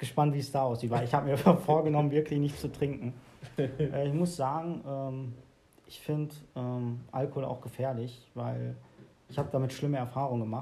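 A somewhat breathy man with a dark, mellow tone and medium pitch speaks at a moderate pace, with fairly even intonation and big swings in loudness. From Germany. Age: 20s. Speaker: podcast host. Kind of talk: casual chat.

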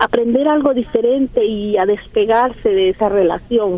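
The speaker goes at a fairly slow pace with ordinary pitch variation, and noticeable background noise can be heard. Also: woman. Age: 60s. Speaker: caller, worried mother. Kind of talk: phone-in call to advice radio show.

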